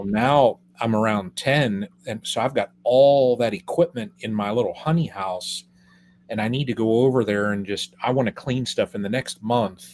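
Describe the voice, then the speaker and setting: With an ordinary speaking voice, a man speaks at a moderate pace, his medium pitch showing ordinary variation. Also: very clean recording, silent background. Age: 50s. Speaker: beekeeper. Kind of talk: casual chat.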